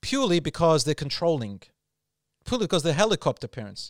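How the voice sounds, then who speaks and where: With an Australian accent, a man is heard in a dry, close sound with no echo on a very clean recording with a silent background. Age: 40s. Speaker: Islamic preacher. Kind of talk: casual interview.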